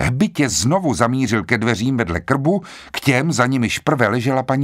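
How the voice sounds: The voice reads naturally, its pitch moving in an ordinary way.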